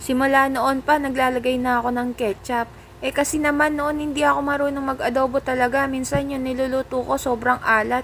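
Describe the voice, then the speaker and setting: Flat and monotone, a woman speaks at a fairly quick pace with a high pitch. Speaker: cooking vlogger. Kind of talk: voice-over cooking narration. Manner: casual, joking; varying loudness, sometimes soft.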